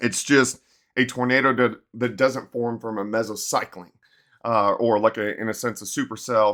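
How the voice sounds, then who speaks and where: At a moderate pace, a man speaks at medium pitch with monotone, flat intonation. The recording is very clean, with a silent background. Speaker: TV meteorologist. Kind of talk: weather briefing video. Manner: casual, conversational.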